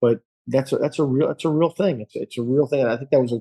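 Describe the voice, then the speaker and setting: This man's tone is dark and mellow, and his intonation stays fairly even. He speaks at a very fast pace, with a dry, close sound and no echo. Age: 60s. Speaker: golf instructor. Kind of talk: casual chat. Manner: halting.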